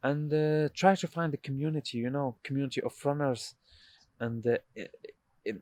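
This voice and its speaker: With an Arabic accent, a man talks at a moderate pace and medium pitch, with ordinary pitch variation. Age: 20s. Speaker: doctor. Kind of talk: casual chat. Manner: halting.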